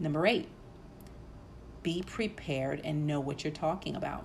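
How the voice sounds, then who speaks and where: Moderate-paced speech from a woman amid audible room echo. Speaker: podcast host. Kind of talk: solo podcast talk. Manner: many fillers uh and um.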